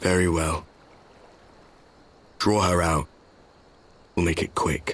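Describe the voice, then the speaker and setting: A raspy, put-on character voice speaking at a fairly slow pace. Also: man, very deep, low pitch for a man. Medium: video game. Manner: sardonic, blunt.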